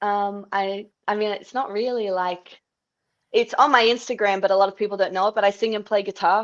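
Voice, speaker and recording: Over a quiet background, a woman speaks at a fairly quick pace with monotone, flat intonation. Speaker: MMA and Muay Thai fighter. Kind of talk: interview.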